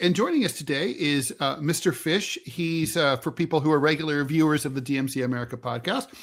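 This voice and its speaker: A man talks at a fairly quick pace with hardly any pauses, in a normal speaking voice of fairly high pitch and ordinary pitch variation. The recording is very clean, with a silent background. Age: 60s. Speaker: political podcast co-host, editorial cartoonist. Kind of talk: casual political discussion.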